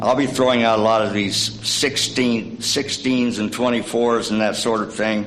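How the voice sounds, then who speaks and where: Fairly slow speech from a man with an East Tennessee accent and a fairly low pitch, in a room with audible echo. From East Tennessee (Scott County, Cumberlands). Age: 70s. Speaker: church member giving a short sermon. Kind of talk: sermonette. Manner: halting, many fillers.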